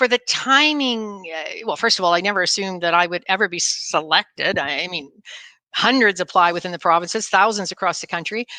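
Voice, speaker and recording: A woman with a Canadian accent speaks quite quickly at a medium pitch, her tone bright and sharp and the sound dry and close with no echo. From Ontario, Canada. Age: 60s. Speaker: politician. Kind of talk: casual chat.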